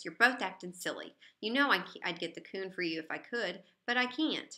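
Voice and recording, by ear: A woman's gruff put-on character voice at medium pitch, moderate in pace, with big swings in loudness.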